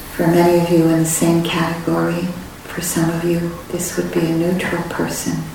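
Over noticeable background noise, a woman speaks in a fairly low, gentle, warm voice with flat, monotone intonation. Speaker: meditation teacher. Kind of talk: guided meditation. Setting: retreat center meditation hall. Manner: slow, soft-spoken and calm, with long pauses; gentle, warm and reassuring.

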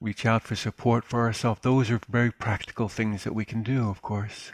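Dry and close with no echo, a man talks at a moderate pace in a plain, everyday voice, with medium pitch and fairly even intonation. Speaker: meditation teacher. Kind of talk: dharma talk and Q&A. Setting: live webinar.

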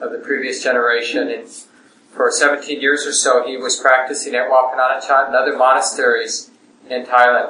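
A man is talking at a moderate speed. Background noise is noticeable throughout. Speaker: meditation center host introducing the teacher. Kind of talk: welcome and introduction.

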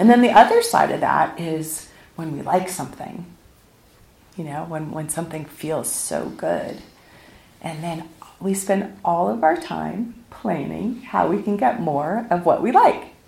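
A woman's fairly low voice, lively in intonation and fairly slow in pace, with big swings in loudness and audible room echo. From US West Coast, South Pasadena, California. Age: 50s. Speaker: meditation teacher. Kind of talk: dharma talk. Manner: casual and conversational.

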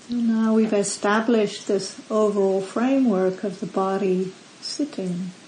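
A woman with an unremarkable speaking voice talks at a fairly slow pace, with medium pitch and fairly even intonation. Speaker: meditation teacher. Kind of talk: guided meditation. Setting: retreat center. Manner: slow, calm, soft-spoken; gentle, long pauses between instructions.

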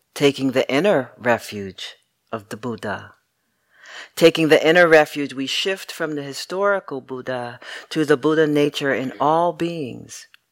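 The pace is fairly slow. It is a very clean recording with a silent background. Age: 60s. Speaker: meditation teacher. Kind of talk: dharma talk.

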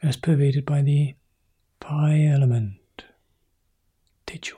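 A man speaks in a fairly high, somewhat breathy voice with a dark, mellow tone. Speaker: meditation teacher. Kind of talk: guided meditation.

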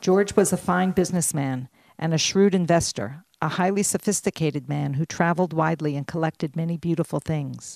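A woman's normal speaking voice, fairly low in pitch with ordinary pitch variation, at a moderate pace, dry and close with no echo, on a very clean recording with a silent background. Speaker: volunteer reader. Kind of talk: reading aloud a story.

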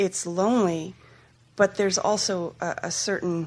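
A woman talks in a normal speaking voice at a medium pitch. Her intonation is fairly even and her pace fairly slow. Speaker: retreat participant. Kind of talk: personal sharing.

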